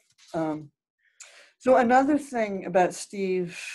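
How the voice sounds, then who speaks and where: Against a quiet background, a woman with a dark, mellow tone speaks at a fairly slow pace with lively intonation. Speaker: daughter of the guest of honor. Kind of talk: speech. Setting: video call. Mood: warm, amused. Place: home room. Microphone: video call.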